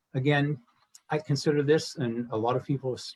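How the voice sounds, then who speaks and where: A man with a Pittsburgh accent speaks at a fairly quick pace. His voice is fairly high and somewhat breathy. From Pittsburgh, western Pennsylvania. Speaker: school fundraising coordinator. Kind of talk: event presentation.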